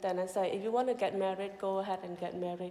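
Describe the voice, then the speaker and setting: A woman speaks with a Cambodian accent at a medium pitch. Her pace is fairly quick. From Cambodia, Kampong Cham province. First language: Khmer. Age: 30s. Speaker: mission director. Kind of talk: testimony.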